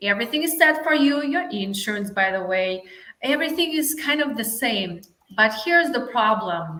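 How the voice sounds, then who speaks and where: A woman with a Russian accent talks at a moderate pace, her fairly high pitch moving in very wide swings. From Russia, Saint Petersburg. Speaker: life coach. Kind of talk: interview.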